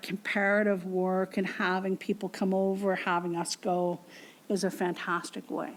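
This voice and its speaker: A woman's very slow speech in a western Canadian accent. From Canadian prairies. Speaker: professor. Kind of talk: lecture Q&A answer.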